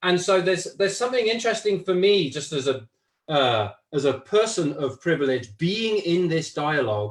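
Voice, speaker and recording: A man's high voice in a British accent, moderately paced, with very wide pitch swings. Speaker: facilitator, course leader. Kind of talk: casual chat. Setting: live stream.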